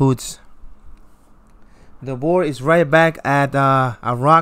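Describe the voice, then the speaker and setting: A man with a non-native accent talks at a very slow pace and a fairly high pitch, with fairly even intonation. The recording is very clean, with a silent background. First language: not English. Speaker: gaming youtuber. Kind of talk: gameplay commentary. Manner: casual, repetitive.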